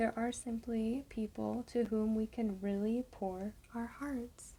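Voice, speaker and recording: The speaker is soft-spoken. The pace is very slow. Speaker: ASMR creator. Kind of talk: reading a book aloud.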